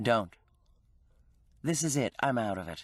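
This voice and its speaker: A put-on character voice comes through at a moderate pace with some hissing. The background is quiet. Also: man, medium pitch for a man. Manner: hissed, low and sharp; angry, curt.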